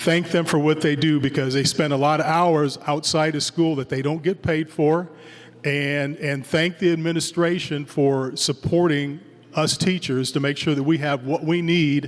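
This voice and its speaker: In a monotone, flat intonation, a man's fairly high voice moves at a moderate pace against noticeable background noise. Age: 60s. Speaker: middle school band director. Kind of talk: farewell speech at concert. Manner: conversational, halting with fillers.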